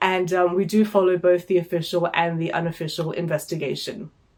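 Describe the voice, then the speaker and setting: A woman speaks over noticeable background noise. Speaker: book reviewer. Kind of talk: book review monologue. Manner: hesitant with fillers.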